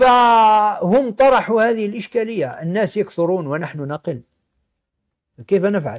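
Against a quiet background, a man with a high voice talks very slowly, his intonation lively. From Algeria. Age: 60s. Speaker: sociology professor. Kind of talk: lecture-style interview. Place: office.

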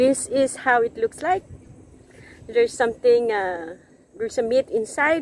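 A woman with a Filipino accent at a high pitch with very wide pitch swings, a fairly slow pace and long, frequent pauses, in a dry sound with no echo over light background noise. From Philippines. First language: Tagalog. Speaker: vlogger. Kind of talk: casual vlog. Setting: outdoors. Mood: cheerful, laughing. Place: waterside. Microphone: phone near.

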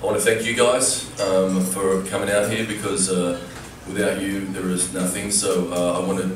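Music plays in the background and room echo is audible as a man speaks in a very deep, low voice with fairly even intonation. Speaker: candidate. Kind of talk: debate opening statement. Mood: nervous, earnest. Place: stage. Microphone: camera far.

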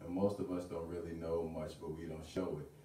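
A man's very deep, low voice in a confident tone, at a moderate pace, with audible room echo. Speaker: spoken word artist. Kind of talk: spoken word poetry performance at open mic. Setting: live open mic venue. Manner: rhythmic, confident delivery. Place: home room. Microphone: camera far.

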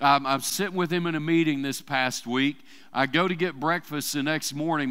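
With an Arkansas accent, a man speaks at a moderate pace in a bright, sharp tone. The background is quiet. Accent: US Southern (Arkansas). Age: 50s. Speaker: church preacher. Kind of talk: sermon. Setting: church service with congregation. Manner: casual, conversational with fillers. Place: church. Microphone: headset.

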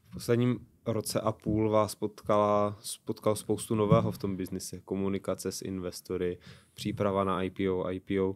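Here a man talks at a moderate pace. His pitch is fairly low, with ordinary variation. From Czech Republic. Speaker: podcast host. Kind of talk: interview. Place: studio. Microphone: studio mic.

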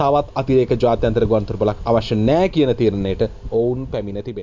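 A man at medium pitch, very fast in pace, with ordinary pitch variation. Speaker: news commentator. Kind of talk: news commentary.

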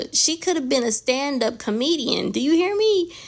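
A woman with lively intonation at a moderate pace, noticeable background noise behind her. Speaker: nail artist. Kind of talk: casual talk to camera.

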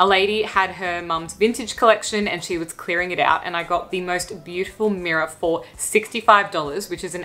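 The speaker keeps a moderate pace with fairly even intonation and hardly any pauses. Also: woman. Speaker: lifestyle vlogger. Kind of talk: casual vlog chat. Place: home room.

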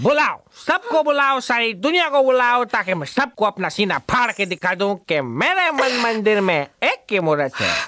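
At a moderate pace and with few pauses, a man performs a put-on character voice with an extremely high pitch, big pitch swings and a bright, sharp tone.

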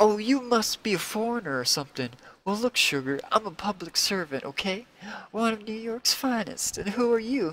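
A man speaks at a moderate pace with lively intonation and big swings in loudness. The sound is dry, with no echo. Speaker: live stream host. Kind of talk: dramatic reading of comic dialogue with voices. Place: home room. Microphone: headset.

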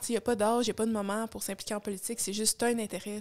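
Against a quiet background, a woman talks very fast at a fairly high pitch with monotone, flat intonation. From Quebec. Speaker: podcast co-host. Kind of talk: casual chat. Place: home room. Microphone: studio mic.

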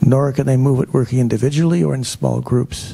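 Moderate pace from a man. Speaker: conference presenter. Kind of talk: lecture. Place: hall. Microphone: handheld.

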